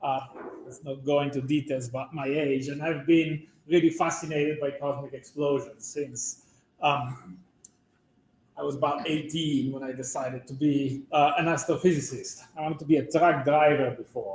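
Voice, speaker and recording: A man with a slight Italian accent, somewhat breathy and fairly high-pitched, with fairly even intonation, big swings in loudness and a moderate pace. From Italy. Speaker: physics professor. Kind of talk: public lecture.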